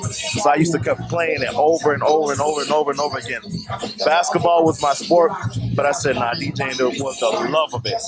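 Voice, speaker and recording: The speaker talks at a fairly quick pace with ordinary pitch variation. Music plays in the background. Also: man. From New York, Brooklyn. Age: 20s. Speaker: DJ. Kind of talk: interview.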